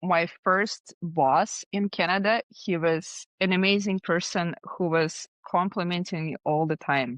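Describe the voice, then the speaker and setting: Speaking with a Russian accent, a woman uses a fairly low pitch and ordinary pitch variation at a fairly slow pace with hardly any pauses, in a dry, close sound with no echo over a quiet background. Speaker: design agency founder. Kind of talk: podcast interview.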